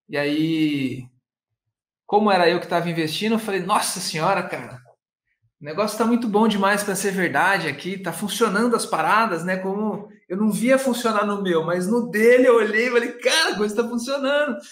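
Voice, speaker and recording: A man with lively intonation at a moderate pace, audible room echo, and a quiet background. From interior of São Paulo state, Brazil. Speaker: online course entrepreneur, singer and actor; actor. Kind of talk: casual interview chat; interview answer. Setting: video call. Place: home room. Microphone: webcam.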